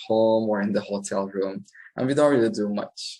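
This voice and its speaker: In a Turkish accent, a man speaks at a fairly low pitch. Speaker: English teacher. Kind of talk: tutorial. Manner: natural pace with hesitations.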